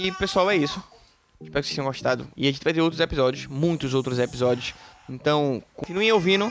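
A man's fairly high voice at a very fast pace, with ordinary pitch variation, amid noticeable background noise. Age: 20s. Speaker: podcast co-host, software developer. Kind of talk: casual chat.

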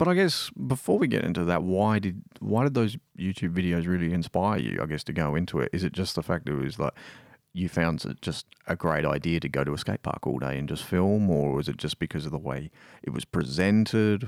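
A man with an Australian accent speaks at a fairly quick pace, his very deep, low voice showing vocal fry and lively intonation. The recording is very clean with a silent background and a dry, close sound with no echo. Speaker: podcast host. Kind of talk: casual interview; scripted intro narration.

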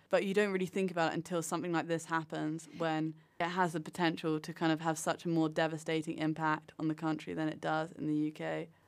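In a very clean recording with a silent background, a woman with a British accent and a very deep, low pitch speaks at a very fast pace in a flat monotone, with hardly any pauses. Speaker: podcast host. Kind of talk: casual interview.

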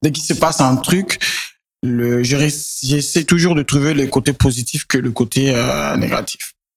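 This man has a normal speaking voice with a fairly high pitch. He talks at a fairly slow pace with fairly even intonation. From Niger, Niamey. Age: 20s. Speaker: singer and songwriter. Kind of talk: interview.

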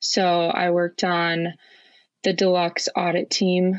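Very slow speech over a quiet background. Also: woman. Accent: Minnesotan. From Minnesota, Twin Cities suburb. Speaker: college hockey player. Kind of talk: casual interview.

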